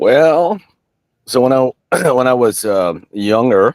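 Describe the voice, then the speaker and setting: The recording of this man's voice is dry and close, with no echo. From US South. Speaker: military veteran. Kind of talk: casual interview. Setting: home basement studio, livestream.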